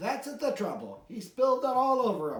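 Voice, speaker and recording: A man puts on a character voice at an extremely high pitch, with a slight echo. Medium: read story. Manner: dry, knowing.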